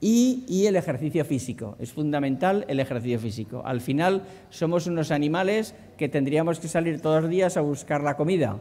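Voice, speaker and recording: This man has a dark, mellow tone and a fairly high pitch, speaking at a moderate pace with lively intonation. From inland Spain. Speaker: doctor giving a talk on healthy eating. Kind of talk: conference talk. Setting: conference hall with audience. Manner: hesitant, many fillers and repetitions.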